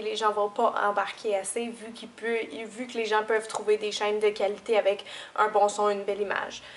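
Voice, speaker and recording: A woman talks with a Quebec accent at a moderate pace. Her fairly high voice has a monotone, flat intonation. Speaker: beauty YouTuber. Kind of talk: tutorial.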